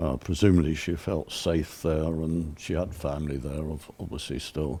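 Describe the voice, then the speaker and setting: This dark, mellow voice with vocal fry has a British accent. It moves at a moderate pace with fairly even intonation. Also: man, very deep, low pitch for a man. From England. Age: 80s+. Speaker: sculptor and Holocaust survivor. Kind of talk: interview testimony. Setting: on location set.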